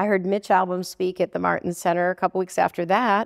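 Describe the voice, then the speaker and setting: A woman's voice with vocal fry and an American accent, against a quiet background. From Buffalo, New York (Williamsville suburb); New York. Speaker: public relations consultant and author. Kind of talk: casual interview chat. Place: studio. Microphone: lapel.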